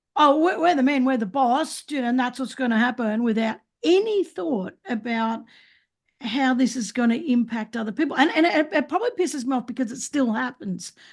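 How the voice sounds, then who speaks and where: In an Australian accent, a woman with a high pitch speaks at a fairly quick pace, her intonation lively. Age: 60s. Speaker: podcast host. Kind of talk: casual chat. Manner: halting.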